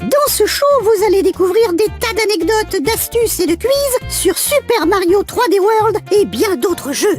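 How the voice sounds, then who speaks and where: A cartoonish character voice at a moderate pace, with clear music in the background. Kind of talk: children's show hosting, game tips and quiz. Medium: puppet.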